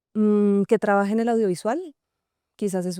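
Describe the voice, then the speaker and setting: A dark, mellow voice moves at a moderate pace with fairly even intonation, captured in a dry, close sound with no echo on a very clean recording with a silent background. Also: woman. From Colombia, Cartagena (Caribbean coast), partly raised in Venezuela. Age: 30s. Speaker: actress and screenwriter. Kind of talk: interview. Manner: hesitant, many fillers.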